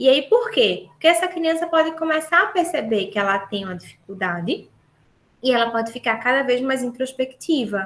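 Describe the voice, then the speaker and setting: The woman talks in a high voice. Her pitch rises and falls very widely. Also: moderate pace. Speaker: speech therapist. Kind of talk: lecture. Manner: animated.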